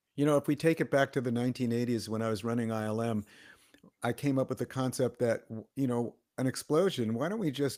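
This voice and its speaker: Speaking at a very fast pace, a man uses a medium pitch and ordinary pitch variation, recorded with a dry, close sound and no echo. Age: 70s. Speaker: visual effects studio founder and executive. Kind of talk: casual podcast discussion. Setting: live online broadcast.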